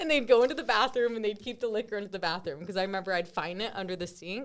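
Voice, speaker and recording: Spoken at a very fast pace with an American accent. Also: woman, medium pitch for a woman, lively intonation. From Utah, St. George. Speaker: podcast host. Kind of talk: casual chat.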